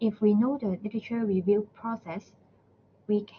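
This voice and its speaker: At a moderate pace, a woman speaks at a medium pitch with fairly even intonation and a somewhat breathy quality. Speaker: university librarian presenter. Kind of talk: webinar presentation. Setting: online webinar.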